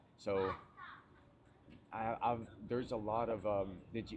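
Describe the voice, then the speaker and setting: The speaker has an American accent and talks at a fairly slow pace with fairly even intonation. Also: man. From US South, Tennessee. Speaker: fitness coach. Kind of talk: casual chat.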